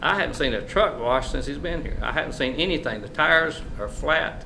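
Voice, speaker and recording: A man speaks at a fairly quick pace with a North Carolina accent. Room echo is audible, and background noise is noticeable. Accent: North Carolina Southern. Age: 70s. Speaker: mayor. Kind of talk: public comment response at council meeting. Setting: council chamber. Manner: loud.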